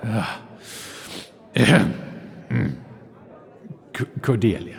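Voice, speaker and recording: A man puts on a character voice. It sits fairly low in pitch and moves at a fairly slow pace. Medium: audio drama. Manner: musing, wry.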